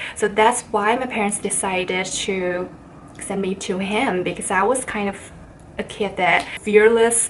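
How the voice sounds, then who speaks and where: A woman with a Chinese accent speaks at a medium pitch with fairly even intonation. Noticeable background noise runs under her voice. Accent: Chinese accent, non-native speaker. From China. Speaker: vlogger. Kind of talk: casual vlog talk.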